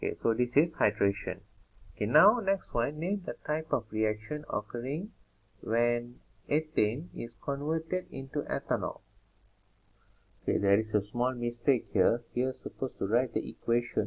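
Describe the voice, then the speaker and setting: With lively intonation and a moderate pace, a man speaks in an unremarkable speaking voice at a medium pitch. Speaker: chemistry tutor. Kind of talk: tutorial.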